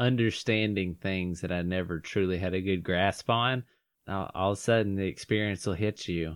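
Fairly even in intonation, a man with a very deep, low pitch talks at a moderate speed. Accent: Southern US. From North Georgia. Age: 20s. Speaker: podcast host. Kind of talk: casual chat.

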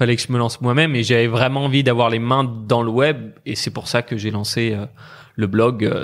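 The recording is very clean, with a silent background. A man talks at medium pitch and a moderate pace with fairly even intonation, in a plain, everyday voice. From France, Brittany. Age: 20s. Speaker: online entrepreneur and investor. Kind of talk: casual interview.

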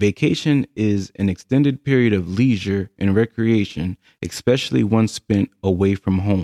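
A dark, mellow tone in a dry, close sound with no echo, with hardly any pauses. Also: man, fairly low pitch for a man, ordinary pitch variation, moderate pace. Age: 30s. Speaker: podcast host. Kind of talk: solo monologue.

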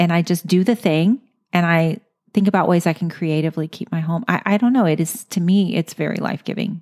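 A woman's fairly low-pitched, normal speaking voice at a moderate pace, with ordinary pitch variation, in a dry, close sound with no echo. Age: 50s. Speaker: podcast host. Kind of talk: interview. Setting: in-person interview.

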